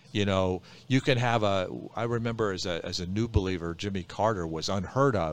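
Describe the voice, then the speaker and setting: Here a man has an ordinary speaking voice, set at a fairly low pitch with ordinary pitch variation. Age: 60s. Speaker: pastor. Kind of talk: casual chat.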